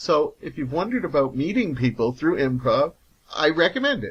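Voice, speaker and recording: Ordinary pitch variation in an ordinary speaking voice, delivered at a fairly quick pace. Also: man. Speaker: podcast host. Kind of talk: casual podcast talk.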